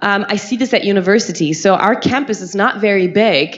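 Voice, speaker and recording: With noticeable background noise behind her, a woman with a German accent sounds animated, her medium pitch moving with ordinary variation. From Germany. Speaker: university health lecturer. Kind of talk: conference talk.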